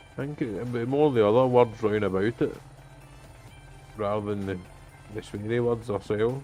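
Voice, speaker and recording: A man with a medium-pitched voice speaks at a moderate pace with fairly even intonation and long, frequent pauses. Music plays in the background. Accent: Scottish. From Scotland. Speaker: truck driver. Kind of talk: casual gaming livestream talk.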